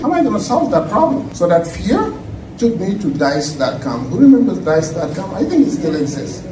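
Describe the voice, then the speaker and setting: Over noticeable background noise and audible room echo, a man speaks at a fairly quick pace with very wide pitch swings. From Senegal. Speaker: tech professional, guest speaker. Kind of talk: conference talk. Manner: loud.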